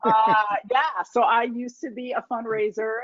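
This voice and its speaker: A woman talks with an American accent at a fairly high pitch. Noticeable background noise runs under her voice. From US, New York and military bases, high school in Indiana. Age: 40s. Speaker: foundation leader. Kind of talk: lecture Q&A talk. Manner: conversational with fillers.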